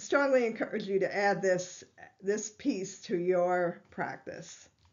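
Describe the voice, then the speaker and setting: The woman talks at a very slow pace. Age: 60s. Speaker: holistic health doctor. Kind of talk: health educational talk. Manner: conversational, some hesitations.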